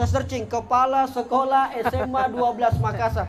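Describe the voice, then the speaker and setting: In a strong Bugis accent, a man speaks at an extremely high pitch with an animated tone, amid noticeable background noise and audible room echo. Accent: thick Bugis. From South Sulawesi, Indonesia (Bugis). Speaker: content creator and motivational speaker. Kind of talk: motivational talk to school students. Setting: school hall with student audience.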